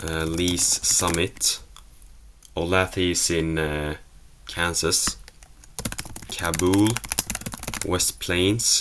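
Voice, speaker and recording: The speaker has a Swedish accent and talks at a very slow pace. Noticeable background noise runs underneath. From Sweden. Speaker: geography video creator. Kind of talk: casual solo commentary while playing a quiz. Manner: hesitant, self-correcting.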